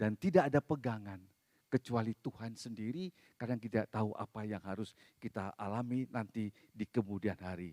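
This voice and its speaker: A man speaks at a fairly quick pace with a fairly low pitch and ordinary pitch variation. His tone is dark and mellow, and the sound is dry and close with no echo. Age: 60s. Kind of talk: sermon. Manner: conversational, casual asides.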